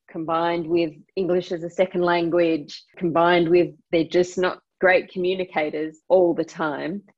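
This speaker talks at a moderate pace with an Australian accent. The intonation is monotone and flat. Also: woman. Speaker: fintech company co-CEO. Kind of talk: interview. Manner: halting, with frequent word repetitions.

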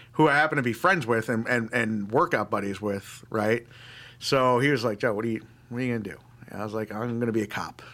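Bright and sharp in tone, a man rattles along at a very fast pace with a New York accent. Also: medium pitch for a man, ordinary pitch variation. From New York (Long Island, upstate). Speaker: army veteran. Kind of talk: interview.

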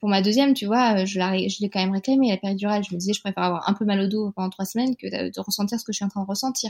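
On a very clean recording with a silent background, a woman speaks very fast at a medium pitch, somewhat breathy and with fairly even intonation. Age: 30s. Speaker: naturopath and mother. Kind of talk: testimony. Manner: hesitant, many fillers.

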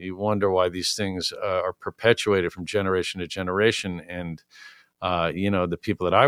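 A man with an American accent and a normal speaking voice talks at a moderate pace in a fairly low pitch with fairly even intonation, the sound dry and close with no echo. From New York City. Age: 40s. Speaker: music venue owner. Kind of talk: casual interview. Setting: studio.

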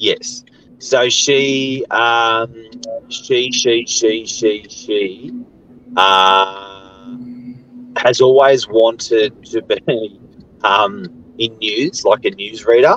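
With an Australian accent, a man talks at a very slow pace, his pitch varying in an ordinary way and his speech broken by long, frequent pauses. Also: medium pitch for a man. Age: 40s. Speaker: real estate agent. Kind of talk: casual chat. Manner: halting.

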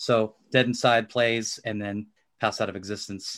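The recording is very clean with a silent background. A man with an ordinary speaking voice and medium pitch speaks at a fairly slow pace. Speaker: podcast host. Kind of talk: casual interview intro and chat.

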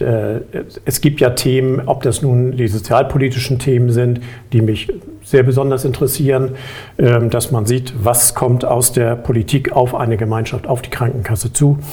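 A man of medium pitch at a moderate pace, with fairly even intonation and noticeable background noise. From Hamburg, northern Germany. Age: 50s. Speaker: insurance board candidate, insurance manager. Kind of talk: interview. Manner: hesitant, many filler sounds.

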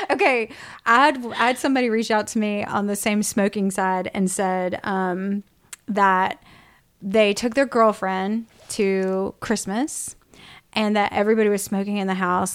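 Recorded very cleanly against a silent background, a woman with an ordinary speaking voice talks at a medium pitch and a moderate pace. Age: 40s. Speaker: podcast host and professional storyteller. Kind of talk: casual chat. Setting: at co-host's house.

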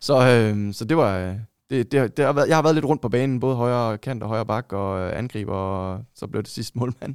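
This man has an unremarkable speaking voice at medium pitch with ordinary pitch variation. He talks at a moderate pace in a dry, close sound with no echo. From Denmark, Vejle. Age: 30s. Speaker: football shirt collector. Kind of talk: casual chat.

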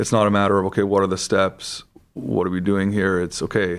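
Against a quiet background, a man talks at a very fast pace. His pitch is fairly low. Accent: western Canadian. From Vancouver, Canada. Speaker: surgical resident. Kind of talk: casual interview.

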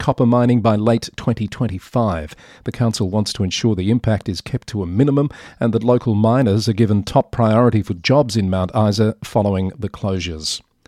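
A man with an unremarkable speaking voice talks at a fairly quick pace, medium pitch, and ordinary pitch variation. The recording is very clean, with a silent background and a dry, close sound with no echo. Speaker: podcast newsreader host. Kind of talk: news reading, scripted news roundup. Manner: steady, formal, even-paced newsreader delivery; clear and measured, neutral and matter-of-fact.

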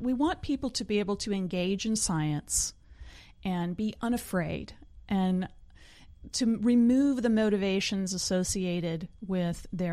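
This woman has a plain, everyday voice, pitched in the medium range with ordinary pitch variation. The recording is very clean, its background silent. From Oklahoma panhandle, US. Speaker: scientist and science communicator. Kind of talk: casual interview.

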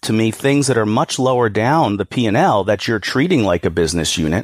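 On a very clean recording with a silent background, a man with an unremarkable speaking voice and an American accent talks at a fairly quick pace in a fairly low pitch, with lively intonation. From New York. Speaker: employee benefits advisor. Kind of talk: interview.

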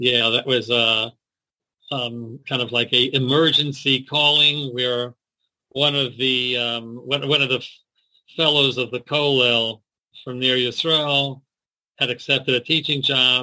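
A bright, sharp voice with an American accent speaks in a flat monotone at a fairly slow pace, with long, frequent pauses. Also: man, medium pitch for a man. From US, Baltimore, Maryland. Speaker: rabbi and school principal. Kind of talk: interview. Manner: halting.

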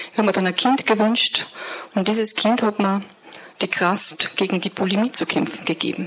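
A woman with a strong Upper Austrian accent speaks in fairly even intonation over noticeable background noise. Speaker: guest speaker sharing life story. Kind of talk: testimony. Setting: church service stage with audience.

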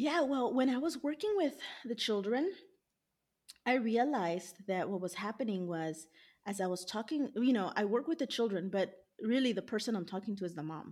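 In a plain, everyday voice, a woman speaks with an American accent at a moderate pace and medium pitch. Her intonation is lively, and the recording is very clean with a silent background. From US, Los Angeles. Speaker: dietitian. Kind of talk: interview.

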